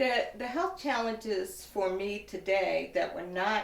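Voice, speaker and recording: A woman talks at a fairly slow pace while audible echo fills the room. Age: 60s. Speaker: woman living with HIV sharing her experience. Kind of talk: testimony.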